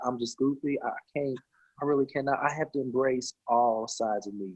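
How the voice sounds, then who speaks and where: A man's fairly high voice with a Southern US accent. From US South, Cleveland, Tennessee. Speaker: singer and actor. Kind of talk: casual chat. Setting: video call. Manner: animated.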